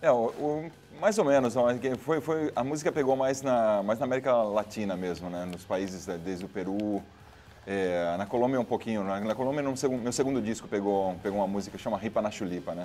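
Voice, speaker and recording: Speaking at a fairly quick pace, a man with a fairly low, dark and mellow voice uses lively intonation. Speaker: singer. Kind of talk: casual interview. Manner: halting, many repetitions.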